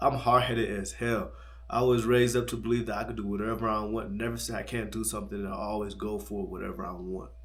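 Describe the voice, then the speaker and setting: A man speaks at a very fast pace in a fairly low pitch, his intonation lively, with audible room echo around him. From United States. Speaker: travel vlogger. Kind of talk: late-night personal vlog monologue. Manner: fast with stumbles.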